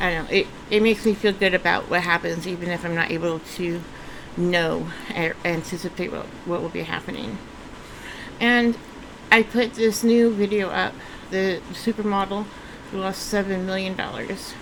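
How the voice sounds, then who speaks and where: With long, frequent pauses, a woman speaks at a moderate pace and medium pitch with fairly even intonation over noticeable background noise. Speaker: vlogger. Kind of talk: casual vlog monologue. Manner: halting, many fillers and restarts.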